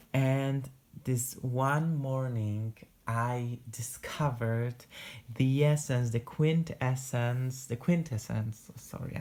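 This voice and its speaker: Someone talks at a very slow pace in a Polish accent. The recording is very clean, the background silent. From Poland. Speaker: talks about perfume.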